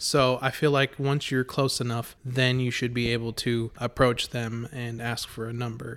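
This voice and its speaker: The man's intonation is monotone and flat, at a medium pitch. He keeps a moderate pace with hardly any pauses. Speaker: podcast host. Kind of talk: casual chat. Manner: joking, talkative.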